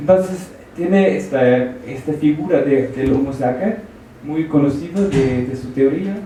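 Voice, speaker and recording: Amid noticeable background noise and audible room echo, a man with a fairly high pitch speaks at a fairly slow pace with lively intonation. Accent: non-native. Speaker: audience member asking question. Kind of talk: question from audience. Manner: halting.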